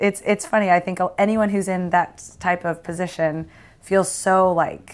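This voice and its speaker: With an American accent, a woman speaks at medium pitch and a moderate pace in an ordinary speaking voice with fairly even intonation. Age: 30s. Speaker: sports broadcaster. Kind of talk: casual chat.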